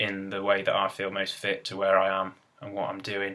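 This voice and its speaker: The speaker has an East Midlands accent. The pace is fairly quick. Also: man. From England, Derbyshire (East Midlands). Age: 20s. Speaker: gardener, video blogger. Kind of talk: casual vlog monologue. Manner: halting, with fillers.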